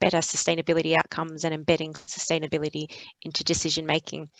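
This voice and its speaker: Very fast speech from a woman with an Australian accent, fairly low in pitch, in a dry, close sound with no echo. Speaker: sustainability consultant. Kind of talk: panel webinar discussion. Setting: video call webinar.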